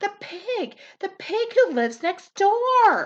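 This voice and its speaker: This put-on character voice is squeaky, with very wide pitch swings. It moves at a fairly slow pace. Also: woman. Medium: read story. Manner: soft, fretful.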